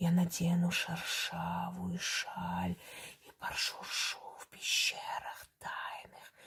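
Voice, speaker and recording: In a put-on character voice, the speaker hisses and rasps while talking very slowly. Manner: whispered with a hissing sound.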